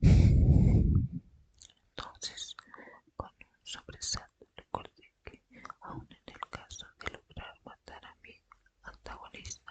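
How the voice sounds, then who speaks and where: A woman whispers at a very slow pace. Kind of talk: ASMR whispered book reading. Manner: whispered, soft.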